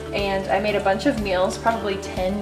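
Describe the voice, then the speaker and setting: A woman speaks at a moderate pace over clear music in the background. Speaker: home cook vlogger. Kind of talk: cooking tutorial chat. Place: kitchen. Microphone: camera far.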